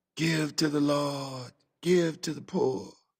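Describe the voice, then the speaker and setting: Using a put-on character voice, a man talks softly and huskily at a fairly slow pace and a fairly high pitch. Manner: prayerful, murmuring.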